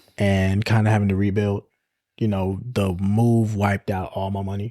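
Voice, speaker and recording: A man's dark, mellow voice with fairly low pitch, monotone, flat intonation and a moderate pace, on a very clean recording with a silent background and a dry, close sound with no echo. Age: 20s. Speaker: photographer. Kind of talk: interview.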